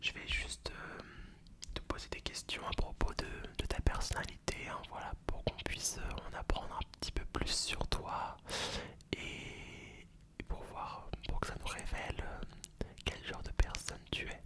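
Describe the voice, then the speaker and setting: A man whispering at a very slow pace over noticeable background noise. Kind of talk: ASMR roleplay. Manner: whispered; soft-spoken, close to the mic.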